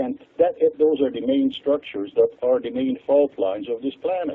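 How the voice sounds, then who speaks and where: A man talks with a Hungarian accent. He keeps a moderate pace. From Hungary. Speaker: water expert. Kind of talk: interview. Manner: halting.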